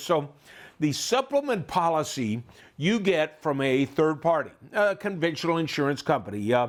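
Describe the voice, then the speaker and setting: A man with an American accent and an unremarkable speaking voice talks at a moderate pace, with fairly high pitch and lively intonation. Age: 60s. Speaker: tax and retirement educator. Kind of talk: lecture.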